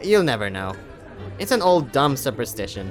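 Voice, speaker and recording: A man uses a put-on character voice at medium pitch, with very wide pitch swings and a moderate pace. Clear music plays in the background. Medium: read story. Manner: snarky.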